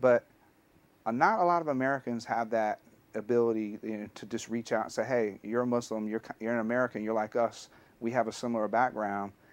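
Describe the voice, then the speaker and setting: At a fairly quick pace, the delivery holds fairly even intonation. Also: man, medium pitch for a man. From US South, Alabama. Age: 40s. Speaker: history teacher. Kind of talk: personal testimony.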